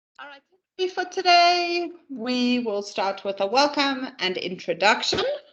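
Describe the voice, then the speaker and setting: A woman with a Namibian accent speaks at a fairly slow pace and high pitch, her voice making very wide pitch swings and big swings in loudness. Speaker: corporate trainer. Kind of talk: training presentation. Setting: pre-recorded online session.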